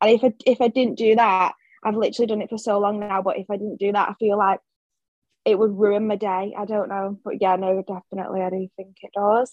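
A woman with an English accent at a fairly quick pace, monotone and flat in intonation, in a dry, close sound with no echo. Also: medium pitch for a woman, big swings in loudness. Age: 20s. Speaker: small business owner and office worker. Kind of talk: casual interview.

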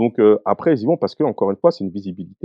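His pitch swings very widely. The man's voice sits at a medium pitch. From France, Bondy (Seine-Saint-Denis, Paris suburbs). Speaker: rapper. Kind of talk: casual interview chat.

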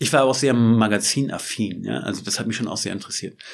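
Here is a man with a normal speaking voice. His pitch variation is ordinary. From northeastern Germany, Schwerin (Mecklenburg-Vorpommern). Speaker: photographer. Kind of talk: interview. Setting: studio.

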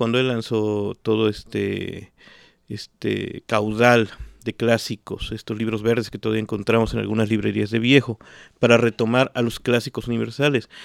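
With a plain, everyday voice, a man speaks at a moderate pace and medium pitch in a dry, close sound with no echo on a very clean recording with a silent background. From Mexico (Xalapa, Veracruz and Mexico City). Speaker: writer. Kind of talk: casual interview. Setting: at the guest's home.

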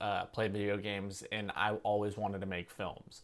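A man with a Californian accent and fairly low pitch on a very clean recording with a silent background. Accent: Californian American. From California, Santa Cruz. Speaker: filmmaker and YouTuber. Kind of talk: casual interview chat.

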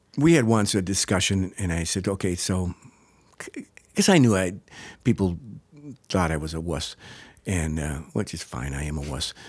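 With an American accent, a man speaks at a very deep, low pitch with vocal fry and lively intonation, in a very clean recording with a silent background. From Wisconsin. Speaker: improv comedian. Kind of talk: casual chat.

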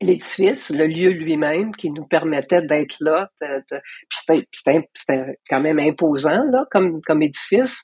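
The sound is dry and close, with no echo. A woman speaks fairly slowly in a fairly low pitch. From Quebec, Hull (Outaouais). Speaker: artist and curator. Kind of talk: interview conversation.

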